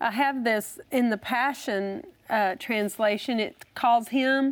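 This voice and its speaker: A woman speaks at a high pitch. The recording is very clean, with a silent background. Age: 50s. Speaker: bible teacher. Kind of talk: teaching.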